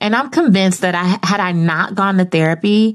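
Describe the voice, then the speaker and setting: In a plain, everyday voice, a woman with a fairly low pitch speaks at a moderate pace with ordinary pitch variation over a quiet background. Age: 30s. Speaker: podcast host and media personality. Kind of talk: solo podcast monologue. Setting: home studio. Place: studio.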